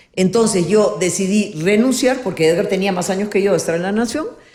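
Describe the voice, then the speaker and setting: Talking at a fairly quick pace with lively intonation, a woman with a medium-pitched voice is heard over noticeable background noise and audible room echo. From Peru, Lima. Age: 70s. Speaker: politician and former journalist. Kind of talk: interview, life story.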